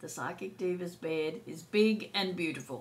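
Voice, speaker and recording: A woman speaks at a medium pitch and a fairly slow pace. Audible room echo surrounds her voice. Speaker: psychic tarot reader. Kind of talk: casual anecdote; astrology and tarot forecast monologue. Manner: animated.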